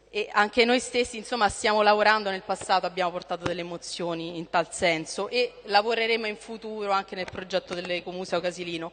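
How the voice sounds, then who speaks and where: A woman talks at a very fast pace with hardly any pauses and fairly even intonation over light background noise. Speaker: council member. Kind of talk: council speech. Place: hall. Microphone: podium.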